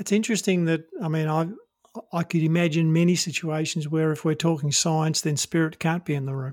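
A man's fairly high voice moves at a fairly quick pace, its intonation fairly even. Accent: Australian. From Australia. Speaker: podcast host. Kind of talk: interview conversation.

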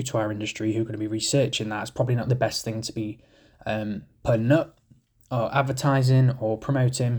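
In a British accent, a man talks at a fairly quick pace and medium pitch, somewhat breathy, with monotone, flat intonation. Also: very clean recording, silent background. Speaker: window cleaning podcaster. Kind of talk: ranting monologue, earnest safety-minded solo podcast rant. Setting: solo podcast recording. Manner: emphatic, insistent, argumentative; conversational, rambling, self-correcting.

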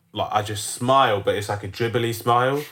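In a London accent, a man talks at a fairly low pitch with fairly even intonation, recorded very cleanly against a silent background. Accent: London multicultural youth English. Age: 20s. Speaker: podcast host. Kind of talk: casual banter.

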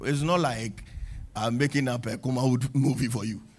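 A man talks at a fairly quick pace in an animated tone. His voice is somewhat breathy. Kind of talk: sermon. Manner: animated, exhorting the congregation with call-and-response; direct and frank, with teasing humor.

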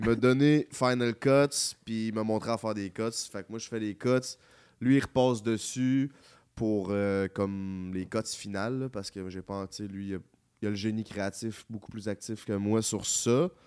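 In a very clean recording with a silent background, a man with a normal speaking voice talks at a fairly low pitch and a fairly slow pace, his intonation fairly even. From Quebec City area (Charny). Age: 20s. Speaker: YouTuber. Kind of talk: casual chat.

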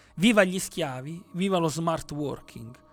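This man's voice sits high in pitch, with ordinary variation in tone. He talks at a moderate pace. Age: 40s. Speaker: radio host. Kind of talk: scripted narration; casual chat. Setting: radio studio.

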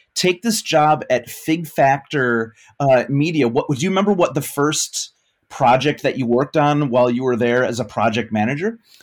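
A man with a normal speaking voice talks at a moderate pace, his pitch fairly high and his intonation lively. The recording is very clean, with a silent background. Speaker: podcast host and teacher. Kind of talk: interview.

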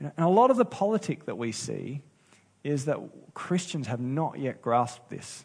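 Speaking at a moderate pace with an Australian accent, a man has a fairly high, somewhat breathy voice with very wide pitch swings. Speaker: pastor. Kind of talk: sermon.

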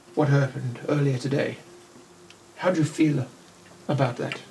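This man uses a put-on character voice that is gruff and fairly high in pitch. He speaks at a moderate pace. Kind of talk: inner voice clearing the head. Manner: mellow, calm.

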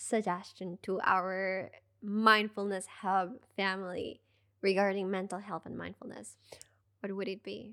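On a very clean recording with a silent background, a woman speaks at a very slow pace, her medium-pitched voice bright and sharp in tone. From Peru. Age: 20s. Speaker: podcast host, yoga and mindfulness. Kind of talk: casual interview chat.

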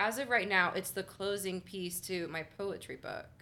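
Loud and bright with a sharp tone, a woman speaks at a medium pitch and a moderate pace. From Miami, Florida (Little Havana). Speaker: poet and spoken word performer. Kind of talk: casual interview chat.

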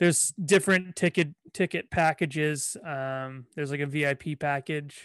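A man's fairly high voice, fairly even in intonation, in a dry, close sound with no echo. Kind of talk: casual interview chat. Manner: fast talker.

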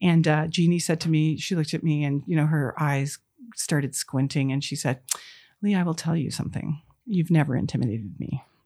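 Dark and mellow in tone, a woman's very deep, low voice moves at a fairly quick pace with ordinary pitch variation. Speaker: company CEO and founder. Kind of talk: interview. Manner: halting, many fillers.

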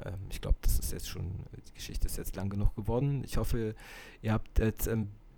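A man talks fairly quickly, his tone dark and mellow, his pitch varying in an ordinary way. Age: 50s. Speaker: podcast host, film enthusiast. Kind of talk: solo monologue about films. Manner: hesitant, many filler sounds.

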